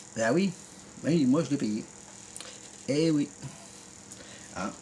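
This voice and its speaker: Noticeable background noise beneath a man's lively intonation. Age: 50s. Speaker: YouTuber. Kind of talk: rant video reply. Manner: animated; halting.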